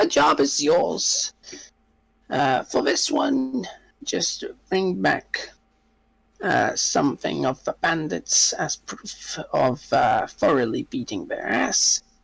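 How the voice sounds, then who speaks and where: A man puts on a raspy character voice. He speaks at a very slow pace. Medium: actual play. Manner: brusque, businesslike.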